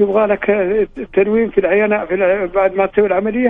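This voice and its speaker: The speaker is a man with a high pitch. His intonation stays monotone and flat. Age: 60s. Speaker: caller seeking charity help. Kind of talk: phone-in appeal. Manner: halting.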